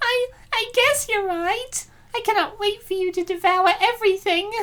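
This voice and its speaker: Putting on a squeaky character voice, a woman speaks at a moderate pace with an extremely high pitch and ordinary pitch variation. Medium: fan dub. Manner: soft, affectionate.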